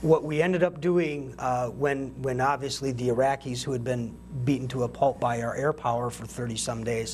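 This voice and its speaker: A man talks in a normal speaking voice at a moderate pace. His intonation is fairly even. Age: 40s. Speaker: military veteran. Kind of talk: interview.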